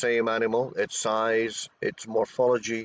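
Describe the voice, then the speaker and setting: The sound is dry and close with no echo as a man with a Scottish accent speaks at a medium pitch. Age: 60s. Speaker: cryptozoologist, expedition researcher. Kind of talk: interview. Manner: halting, repeats words.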